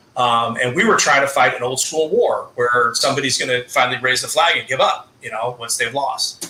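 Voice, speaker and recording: A man speaking at a fairly quick pace over noticeable background noise. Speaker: political discussion guest. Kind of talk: live discussion. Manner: fast.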